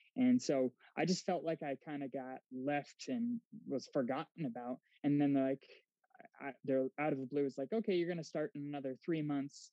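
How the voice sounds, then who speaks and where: A man talks in an ordinary speaking voice at a moderate pace. His pitch sits fairly high, with ordinary variation. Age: 30s. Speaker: physician assistant. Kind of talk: casual interview.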